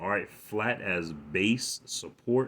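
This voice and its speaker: A man with a fairly low pitch speaks at a very slow pace. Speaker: religious teacher. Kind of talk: bible lesson. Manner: halting, repeats words.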